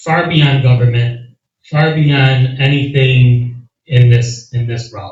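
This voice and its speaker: Speaking at a very slow pace, a man uses a medium pitch and a somewhat breathy voice with big swings in loudness. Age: 30s. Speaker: county legislator and candidate. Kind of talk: candidate forum answer. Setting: community meeting with audience. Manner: animated.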